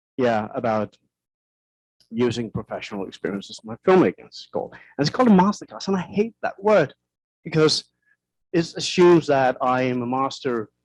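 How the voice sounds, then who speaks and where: A man with a Danish accent speaks at a fairly quick pace and fairly high pitch, with very wide pitch swings, big swings in loudness and long, frequent pauses. The sound is dry and close, with no echo. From Denmark. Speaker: film director. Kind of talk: lecture. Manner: halting.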